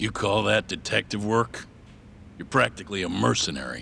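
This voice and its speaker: A man uses a put-on character voice, raspy and fairly low in pitch, with lively intonation. He keeps a moderate pace over clear background noise. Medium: video game. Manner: gruff, blunt.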